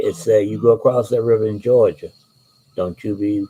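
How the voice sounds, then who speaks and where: This man has a fairly low pitch, a dark, mellow tone and a somewhat breathy quality, with an American accent. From Alabama, US South. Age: 60s. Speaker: author and channel host. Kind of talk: casual monologue and book reading.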